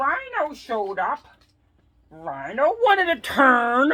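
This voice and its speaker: In an exaggerated put-on character voice pitched high, a woman delivers her lines fairly slowly. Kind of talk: read-aloud picture book. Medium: read story.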